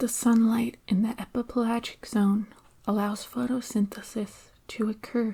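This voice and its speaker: Soft-spoken and calm in tone, the speaker moves at a fairly slow pace. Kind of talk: ASMR science explanation, soft-spoken educational narration. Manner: soft-spoken, calm, relaxing.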